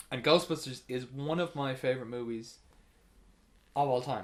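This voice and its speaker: A man with an Irish accent speaks at a moderate pace. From Ireland. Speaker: podcast host. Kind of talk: casual chat.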